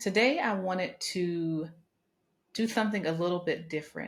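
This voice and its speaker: Somewhat breathy, a woman at a medium pitch speaks at a moderate pace with ordinary pitch variation. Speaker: podcast host. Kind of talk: motivational speech, podcast monologue.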